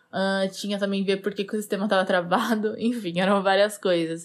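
The woman's voice sits at a medium pitch. She speaks with monotone, flat intonation. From Brazil, interior of São Paulo state. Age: 20s. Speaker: software engineer. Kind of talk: casual monologue.

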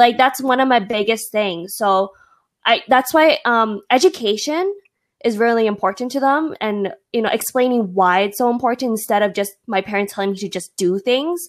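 Speaking in an ordinary speaking voice with a Canadian accent, a woman uses lively intonation and a fairly high pitch at a moderate pace on a very clean recording with a silent background. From Toronto, Canada. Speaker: podcast co-host. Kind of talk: casual chat.

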